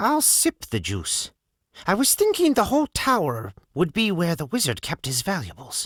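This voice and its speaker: A man puts on a character voice, pitched high, at a moderate pace. The recording is very clean with a silent background. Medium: read story. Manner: plainspoken, wry humor.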